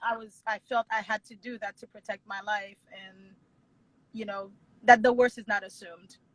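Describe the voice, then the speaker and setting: A woman with a fairly high pitch speaks in a monotone, flat intonation at a moderate pace, somewhat breathy, with big swings in loudness in a dry, close sound with no echo. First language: not English. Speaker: wedding planner and business owner. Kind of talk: interview conversation.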